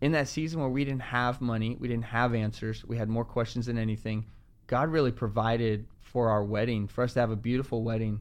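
Speaking at a fairly quick pace, a man uses a plain, everyday voice. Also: medium pitch for a man, fairly even intonation. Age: 20s. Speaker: church pastor. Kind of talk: casual chat.

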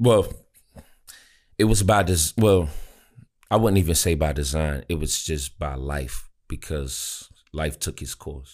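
At a fairly slow pace and with long, frequent pauses, a man with a very deep, low pitch, vocal fry, ordinary pitch variation and a DC area accent comes through in a very clean recording with a silent background. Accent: DC area Maryland (DMV). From Maryland, DC area, US. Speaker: rapper and music artist. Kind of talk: casual interview chat.

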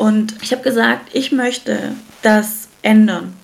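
A woman talks over noticeable background noise. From Germany. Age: 30s. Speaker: entrepreneur, founder of a hair care brand. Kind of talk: casual interview.

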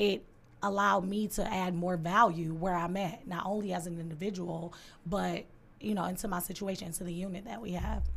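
A woman speaks at medium pitch and a fairly quick pace, her voice somewhat breathy. Her intonation is fairly even, and the room echo is audible. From Detroit, east side. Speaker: podcast host. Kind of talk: casual chat; motivational talk.

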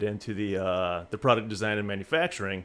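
A man with an American accent at a fairly quick pace, his intonation fairly even. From US Midwest, Springfield, Missouri. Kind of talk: casual interview.

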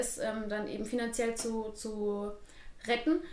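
Female speech against noticeable background noise, with audible room echo. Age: 20s. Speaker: dance studio owner. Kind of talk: interview.

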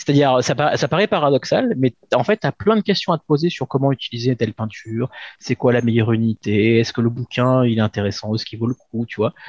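Delivered at a fairly quick pace, the speech has a dry, close sound with no echo. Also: man. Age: 40s. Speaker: shop manager. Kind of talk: interview. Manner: halting, many fillers.

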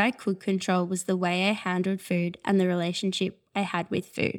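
A woman with an Australian accent talks at medium pitch and a moderate pace in a very clean recording with a silent background. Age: 20s. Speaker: eating disorder recovery speaker. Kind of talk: testimony.

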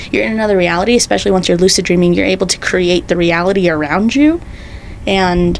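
Behind the speech lies noticeable background noise. The speaker is a woman. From Salt Lake City, Utah (Rose Park). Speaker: photographer and podcast co-host. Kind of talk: casual chat.

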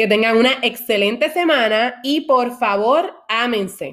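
A woman talks in an animated tone. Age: 20s. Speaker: podcast host. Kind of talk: personal monologue.

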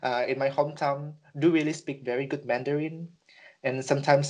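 Against a quiet background, a man with a fairly high pitch speaks at a moderate pace and with fairly even intonation. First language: Indonesian. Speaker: podcast co-host. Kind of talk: casual chat. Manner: halting.

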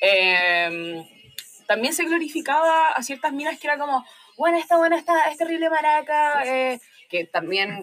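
With a Chilean accent, a woman speaks at a fairly slow pace in a high pitch that swings very widely. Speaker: university student with own podcast. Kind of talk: casual chat.

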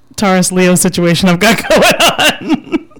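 A woman's warm tone at a medium pitch with lively intonation and noticeable background noise. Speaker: radio host. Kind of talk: casual radio interview chat. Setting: radio studio. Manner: warm, chatty, laughs often.

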